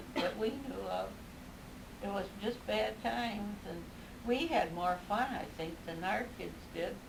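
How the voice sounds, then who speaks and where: Through noticeable background noise, a woman at a medium pitch talks at a fairly slow pace with lively intonation and long, frequent pauses. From Dayton, a small town near Ottawa. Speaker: grandmother. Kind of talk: interview answer.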